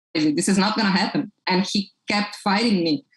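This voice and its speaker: A woman with a Portuguese accent speaks at a medium pitch and moderate pace with lively intonation. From Brazil. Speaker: toy company founder. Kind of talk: podcast interview.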